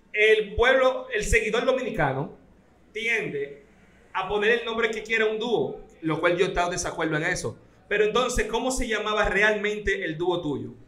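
In a raised, projected voice, a man speaks at a high pitch amid noticeable background noise and audible room echo. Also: ordinary pitch variation, moderate pace. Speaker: radio host. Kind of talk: interview.

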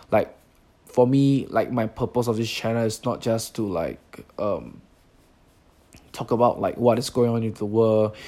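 A man speaks fairly slowly at a medium pitch, his tone dark and mellow. His delivery is flat and monotone, broken by long, frequent pauses. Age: 20s. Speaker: podcaster. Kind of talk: casual monologue. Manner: halting, many fillers.

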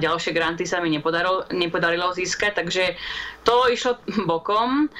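A woman's voice with ordinary pitch variation and noticeable background noise. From Slovakia. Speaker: astrobiologist. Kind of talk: interview.

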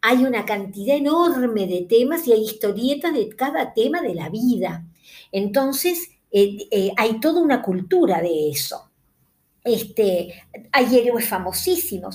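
A woman speaks at a fairly slow pace in a fairly high, somewhat breathy voice, her pitch swinging very widely. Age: 60s. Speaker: podcast host, book reviewer. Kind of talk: casual monologue about books. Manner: hesitant, with fillers.

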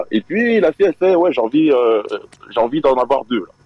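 A man at a fairly quick pace, with very wide pitch swings and a dry, close sound with no echo. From Belgium, Liège. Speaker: caller telling a story. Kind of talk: storytelling on live stream call.

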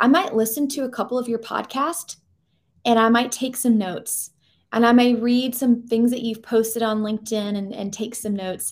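In an American accent, the speaker has a normal speaking voice, a moderate pace and fairly even intonation. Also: woman, fairly high pitch for a woman. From US South, Georgia. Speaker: career coach and former recruiter. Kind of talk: interview conversation.

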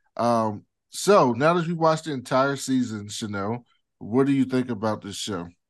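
Against a quiet background, a man with an unremarkable speaking voice talks at a moderate pace. His pitch is medium and his intonation lively. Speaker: podcast co-host. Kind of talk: casual chat.

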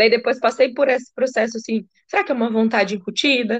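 Against a quiet background, a woman with a fairly high pitch and fairly even intonation speaks in a plain, everyday voice. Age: 30s. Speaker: podcast host, psychologist. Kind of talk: casual interview chat.

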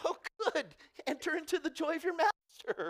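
An extremely high-pitched, put-on character voice moves along at a moderate pace. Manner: grand, put-on.

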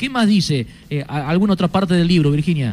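Fairly quick, lively speech from a man with an unremarkable speaking voice and a fairly high pitch. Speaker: sports radio host. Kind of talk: radio sports show. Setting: remote broadcast from a sports club.

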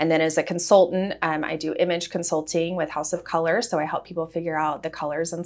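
A woman with an unremarkable speaking voice, fairly low pitched and fairly quick, on a very clean recording with a silent background. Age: 30s. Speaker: cancer survivor. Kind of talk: interview.

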